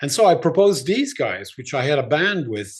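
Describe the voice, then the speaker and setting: Against a quiet background, a man speaks at a moderate pace with lively intonation. His voice is somewhat breathy. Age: 60s. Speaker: rock musician. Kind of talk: interview.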